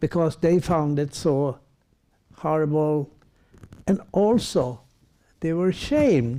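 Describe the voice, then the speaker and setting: His voice sits high in pitch for a man yet has a dark, mellow tone. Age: 80s+. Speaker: Roma rights activist. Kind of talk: panel discussion. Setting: public event with audience. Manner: halting.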